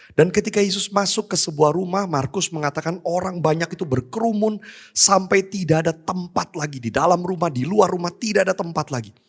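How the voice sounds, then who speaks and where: A high-pitched man talks at a fairly quick pace with ordinary pitch variation. The recording is very clean, the background silent. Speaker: pastor. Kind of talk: sermon. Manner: soft-spoken.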